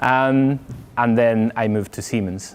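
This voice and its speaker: A man with a Spanish accent talks with fairly even intonation. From Spain. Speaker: software architect. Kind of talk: tech talk with Q&A.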